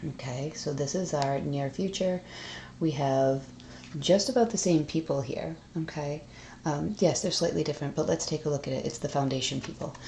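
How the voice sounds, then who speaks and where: Speaking at a moderate pace with an American accent, a woman has a very deep, low pitch, a dark, mellow tone, a somewhat breathy quality and ordinary pitch variation. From Massachusetts, USA. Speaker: tarot reader. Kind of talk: tarot reading to camera. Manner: blunt.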